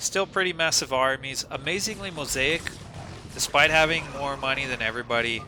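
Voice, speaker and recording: Fairly quick speech from a man with a fairly high pitch and ordinary pitch variation, over noticeable background noise. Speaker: game commentator. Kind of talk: live game commentary. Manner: casual, self-interrupting.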